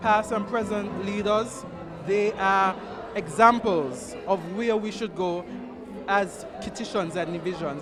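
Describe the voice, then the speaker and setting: A man's high-pitched voice with ordinary pitch variation, audible room echo, and music in the background. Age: young. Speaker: party member, clothing designer. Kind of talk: short interview at gala.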